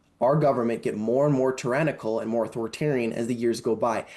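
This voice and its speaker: Against a quiet background, a man with a Canadian accent has a normal speaking voice, a medium pitch and ordinary pitch variation. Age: 20s. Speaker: political candidate. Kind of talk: interview.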